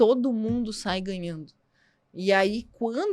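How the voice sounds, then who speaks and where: At a very slow pace, the voice carries a strong southern Brazilian accent on a very clean recording with a silent background. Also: woman. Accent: southern Brazilian border accent, strong. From southern Brazil, border region. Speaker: psychologist. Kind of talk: podcast interview. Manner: halting.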